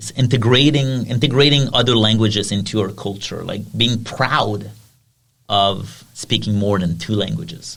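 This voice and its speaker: In a French accent, a man with vocal fry speaks at a fairly low pitch and moderate pace amid audible room echo. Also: ordinary pitch variation. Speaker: podcast host. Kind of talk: casual chat.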